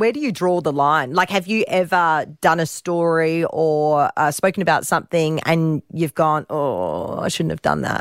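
With an Australian accent, a woman talks at a moderate pace with hardly any pauses, in a fairly low pitch and fairly even intonation. The recording is very clean, with a silent background, and the sound is dry and close with no echo. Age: 30s. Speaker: radio host. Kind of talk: casual interview.

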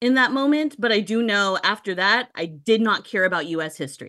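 Speaking with an American accent, a woman uses a plain, everyday voice at fairly high pitch. Her pace is fairly quick and her intonation lively. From Texas, San Antonio. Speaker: professor. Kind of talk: interview.

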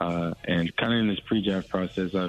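With an American accent, a man talks at a low pitch. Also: fairly even intonation, moderate pace.

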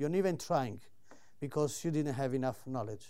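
In an Italian accent, a man speaks in an animated tone on a very clean recording with a silent background. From Italy. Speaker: solicitor and property investor. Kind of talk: live presentation. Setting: stage with audience.

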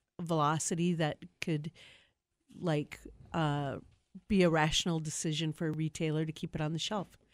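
With a Wisconsin accent, a woman of fairly low pitch speaks on a very clean recording with a silent background. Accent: Upper Midwest (Wisconsin). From Milwaukee, Wisconsin. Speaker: brewery owner. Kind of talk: casual chat.

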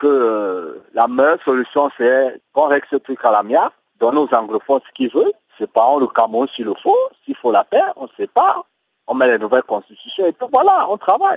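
A man speaks at a moderate pace, and the sound is dry and close with no echo. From Cameroon. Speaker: diaspora activist. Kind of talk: interview. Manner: hesitant, many fillers.

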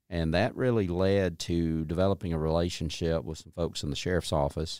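A man with a Southern US accent and a very deep, low pitch speaks at a moderate pace with fairly even intonation, on a very clean recording with a silent background. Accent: Southern US (Georgia). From US South, north Georgia (Dawson County). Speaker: state agency commissioner. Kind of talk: interview.

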